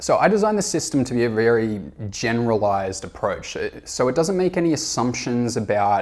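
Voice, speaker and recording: A man talks at a fairly quick pace. His pitch is medium for a man. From Australia. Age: 30s. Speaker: self-help educator. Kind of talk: informational presentation. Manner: frequent fillers (uh, um).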